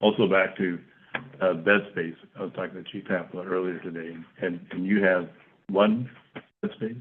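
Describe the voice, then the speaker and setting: With a very deep, low pitch, a man speaks in a monotone, flat intonation, leaving long, frequent pauses. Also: moderate pace. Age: 70s. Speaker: city council member. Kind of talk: council meeting questioning. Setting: city council meeting.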